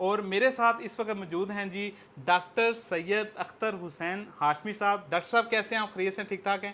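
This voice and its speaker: A man's high, bright, sharp voice, raised and projected, with fairly even intonation and hardly any pauses. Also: moderate pace. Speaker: property tour host, interviewer. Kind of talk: interview.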